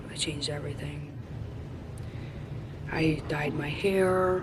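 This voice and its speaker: Audible room echo and noticeable background noise accompany a woman talking at a fairly slow pace. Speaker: vlogger. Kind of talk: personal reflection vlog. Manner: loud; casual.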